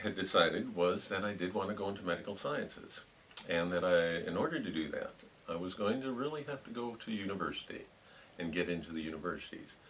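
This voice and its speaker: Over noticeable background noise, the speaker talks fairly quickly in an American accent with lively intonation. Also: man. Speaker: retired pharmacologist. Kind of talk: oral history interview answer.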